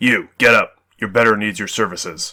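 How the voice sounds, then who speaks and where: A man puts on a raspy character voice at a medium pitch. He keeps a moderate pace with ordinary pitch variation. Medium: read story. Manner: deferential to rank, saying acolyte and ma'am.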